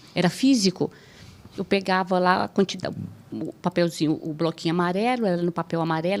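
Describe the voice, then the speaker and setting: On a very clean recording with a silent background, a woman with a medium pitch speaks fairly quickly. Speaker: judge. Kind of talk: podcast interview. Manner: assertive.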